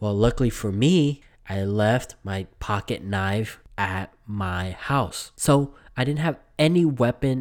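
A man talks at a very slow pace with lively intonation. The recording is very clean, with a silent background. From Vietnam. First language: Vietnamese. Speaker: podcast host. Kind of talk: casual monologue. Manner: halting, frequent repetitions.

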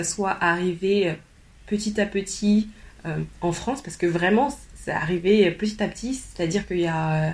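Fairly low female speech with typical pitch variation. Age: 30s. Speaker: personal development coach. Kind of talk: interview. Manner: hesitant, many repetitions.

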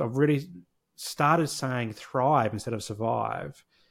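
A man with an Australian accent and lively intonation at a fairly slow pace, on a very clean recording with a silent background. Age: 40s. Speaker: social worker and therapy practice founder. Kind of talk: casual interview.

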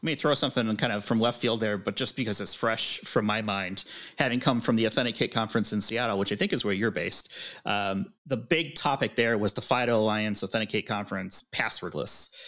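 An unremarkable speaking voice, with ordinary pitch variation, moves at a fairly quick pace. The recording is very clean, with a silent background. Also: man, medium pitch for a man. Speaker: podcast co-host. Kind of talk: casual interview chat.

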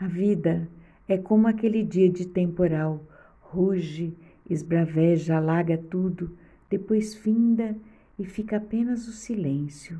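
Soft-spoken and somewhat breathy, the voice has a gentle, dark, mellow tone, ordinary pitch variation and a very slow pace. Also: woman, medium pitch for a woman. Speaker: podcast host. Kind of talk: reflective monologue. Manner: soft and gentle.

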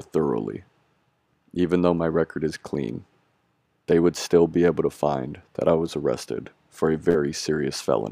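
Speaking with an American accent, a man has a very deep, low pitch, a dark, mellow tone, vocal fry, ordinary pitch variation and a moderate pace, with a dry, close sound and no echo. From US West Coast, San Francisco Bay Area. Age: 20s. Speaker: law student. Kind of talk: interview, personal story.

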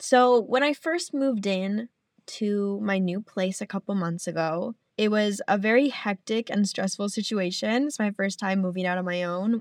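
A woman with a plain, everyday voice speaks at a medium pitch and moderate pace, with ordinary pitch variation and a dry, close sound with no echo. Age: 20s. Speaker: podcast host. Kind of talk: casual solo monologue.

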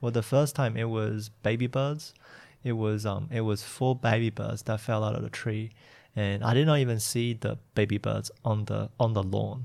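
A man with an unremarkable speaking voice, medium pitch, moderate pace and fairly even intonation, in a very clean recording over a silent background.

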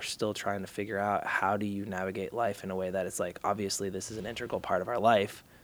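This is a man with an unremarkable speaking voice and an American accent. His pitch is fairly low. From Massachusetts, outside Boston. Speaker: creative agency executive and father. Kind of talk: interview.

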